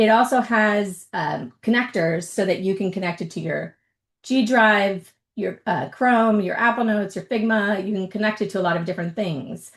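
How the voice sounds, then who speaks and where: A woman's normal speaking voice at medium pitch, moderate pace and ordinary pitch variation, against a quiet background. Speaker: tech presenter, workshop host. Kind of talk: webinar presentation, tutorial.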